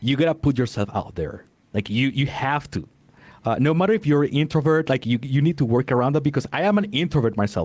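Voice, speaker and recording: Lively intonation marks this man's fairly high voice. He talks at a very fast pace. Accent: non-native. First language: not English. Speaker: podcast coach. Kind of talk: interview. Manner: halting.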